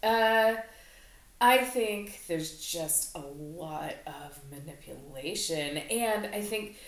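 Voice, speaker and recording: A woman with a fairly low pitch talks at a very slow pace with lively intonation. Her loudness swings widely, and the room echo is audible. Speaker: podcast co-host. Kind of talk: casual chat.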